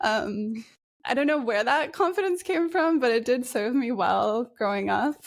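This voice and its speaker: Holding very even loudness, a woman with an American accent speaks at a high pitch through very wide pitch swings. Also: moderate pace. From Japan (Osaka), raised by Australian and New Zealander parents. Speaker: climate resilience researcher. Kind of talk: podcast interview. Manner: hesitant, with fillers.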